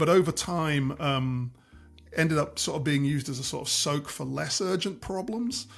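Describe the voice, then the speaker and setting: A fairly high male voice at a medium tempo, normal pitch movement, music playing underneath. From Scotland, Aberdeen. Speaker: doctor and health tech consultant. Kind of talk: interview. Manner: repeats words, hesitant starts.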